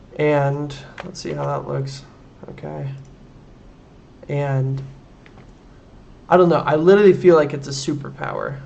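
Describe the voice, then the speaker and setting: The speech moves at a moderate pace with big swings in loudness and long, frequent pauses, set in audible room echo and noticeable background noise. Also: man. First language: German. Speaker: programming livestreamer. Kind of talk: live coding stream with chat. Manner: casual, hesitant with many fillers.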